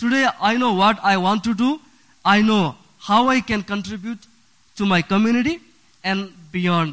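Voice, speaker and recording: At a high pitch with ordinary variation, a man with a Nepali accent speaks at a moderate pace, taking long, frequent pauses. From Bhutan, raised in a Nepal refugee camp. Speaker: refugee sharing his story. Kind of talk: prepared personal story reading. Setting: church.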